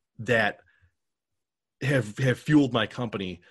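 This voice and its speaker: A man's somewhat breathy voice, fairly slow pace, ordinary pitch variation. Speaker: podcast producer and entrepreneur. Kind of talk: casual interview.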